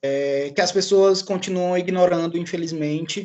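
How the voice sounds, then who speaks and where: The voice is sing-song with a strong Ceará accent. The pace is fairly slow. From Ceará, Brazil. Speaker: book club moderator. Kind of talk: casual chat. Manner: sing-song intonation.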